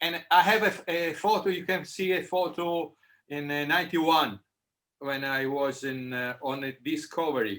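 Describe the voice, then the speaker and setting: A man's fairly high, bright and sharp voice with an Italian accent, at a moderate pace with ordinary pitch variation. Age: 60s. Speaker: former expedition team member. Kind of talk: casual chat. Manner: halting.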